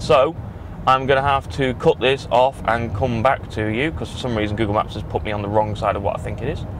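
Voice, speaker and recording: A man at a fairly quick pace, dry sound with no echo, light background noise. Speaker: vlogger. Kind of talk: casual vlog chat. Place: car. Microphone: camera far.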